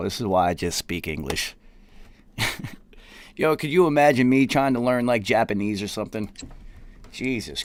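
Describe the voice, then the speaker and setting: Speaking with a Southern US accent, a medium-pitched man uses lively intonation at a moderate pace, broken by long, frequent pauses. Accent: American country. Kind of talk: casual, slangy.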